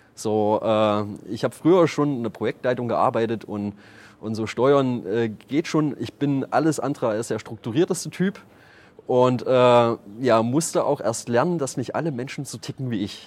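An unremarkable speaking voice from a man, medium in pitch with ordinary pitch variation, at a moderate pace. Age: 30s. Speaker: startup founder and managing director. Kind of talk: interview.

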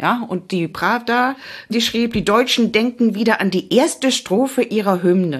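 Her voice is a plain, everyday voice, fairly high for a woman, with lively intonation. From Cologne, Germany. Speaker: radio history author. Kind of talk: casual chat.

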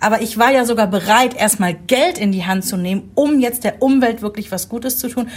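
A woman speaks at a fairly quick pace with a fairly high pitch, lively intonation and a somewhat breathy quality. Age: 40s. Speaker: podcast host, mother. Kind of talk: casual chat.

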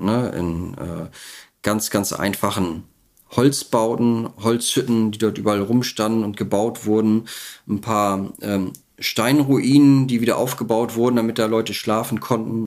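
Keeping a fairly even intonation, a man with a medium pitch speaks at a fairly slow pace. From Mecklenburg-Vorpommern, northeastern Germany. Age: 40s. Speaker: retired soldier and veterans' advocate. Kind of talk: interview testimony. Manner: halting, many fillers.

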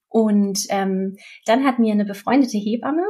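A woman is speaking. Her tone is dark and mellow. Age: 30s. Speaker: midwife. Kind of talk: interview, personal birth story.

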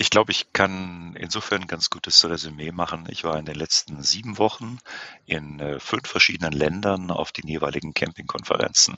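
A man speaks with a very deep, low pitch and ordinary pitch variation. His loudness swings widely. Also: moderate pace. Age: 50s. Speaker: camping industry executive. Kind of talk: podcast interview. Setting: virtual studio.

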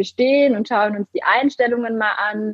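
Fairly high-pitched and at a moderate pace, a woman's plain, everyday voice with ordinary pitch variation. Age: 20s. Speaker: social media coach and co-founder. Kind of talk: interview.

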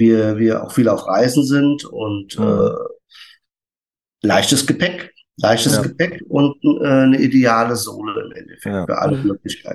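Speaking at a moderate pace, a man uses an ordinary speaking voice at medium pitch. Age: 50s. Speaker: barefoot shoe retailer. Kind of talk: casual chat.

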